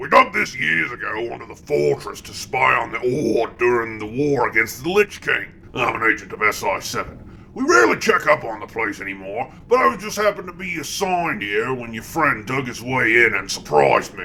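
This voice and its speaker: A man's put-on character voice at a medium pitch and moderate pace, with clear background noise. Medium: machinima. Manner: blunt, gruff.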